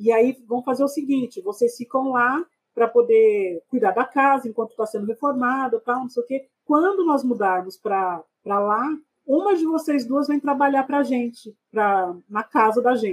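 A woman's high-pitched voice at a moderate pace, dry and close with no echo. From Brazil, São Paulo city (Capão Redondo). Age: 40s. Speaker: podcast guest. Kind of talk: casual interview.

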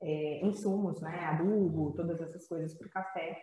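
A woman with a dark, mellow tone and a somewhat breathy voice talks at a moderate pace. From Brazil, interior of Rio de Janeiro state (Campos dos Goytacazes). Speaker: entrepreneur. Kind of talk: casual interview.

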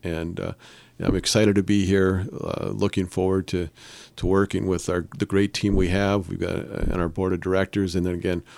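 A man with an Upper Peninsula Michigan accent talks at a fairly quick pace in a very deep, low pitch, his intonation monotone and flat. The recording is very clean, with a silent background and a dry, close sound with no echo. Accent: Upper Peninsula Michigan (Yooper). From Upper Peninsula of Michigan, Calumet. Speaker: startup support organization CEO. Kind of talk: radio interview. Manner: hesitant, many repeated words and fillers.

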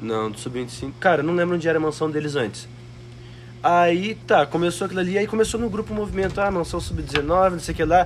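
Lively in intonation, a man with a fairly high pitch talks at a fairly quick pace over noticeable background noise. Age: 20s. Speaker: copywriter. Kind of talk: casual chat. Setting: mansion house.

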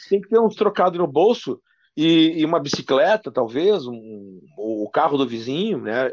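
A man with a southern Brazilian accent speaks at a moderate pace and fairly high pitch. His pitch swings very widely in a dry, close sound with no echo, over a quiet background. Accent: gaúcho Brazilian Portuguese. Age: 40s. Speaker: sports radio journalist. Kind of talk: casual interview.

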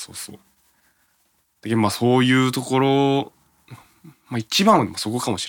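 A man speaks at a moderate pace and medium pitch with ordinary pitch variation. He leaves long, frequent pauses, and his loudness swings widely. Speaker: radio host. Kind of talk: casual chat.

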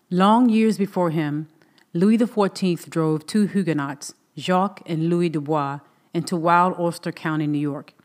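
Captured in a very clean recording with a silent background, a woman with an unremarkable speaking voice talks at a moderate pace in a fairly low pitch with ordinary pitch variation. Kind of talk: audiobook reading of a memoir, scripted narration.

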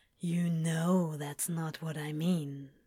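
Pitched in the middle, this put-on character voice keeps a monotone, flat intonation. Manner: low and intimate.

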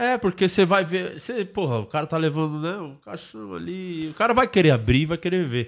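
High-pitched man's voice with very wide pitch swings, at a fairly quick pace with hardly any pauses, on a very clean recording with a silent background. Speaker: comedy podcast host. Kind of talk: casual chat. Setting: studio.

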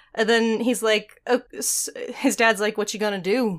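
In a very clean recording with a silent background, a woman with an American accent uses a plain, everyday voice, fairly high in pitch, with fairly even intonation at a moderate pace. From Texas, Germany, Ohio. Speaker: podcast co-host. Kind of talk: casual chat.

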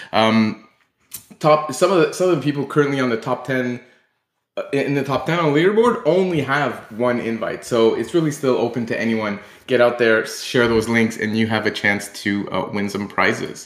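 This man has a plain, everyday voice and a medium pitch. He talks at a moderate pace with ordinary pitch variation. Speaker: host. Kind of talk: casual chat. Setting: live online audio chat.

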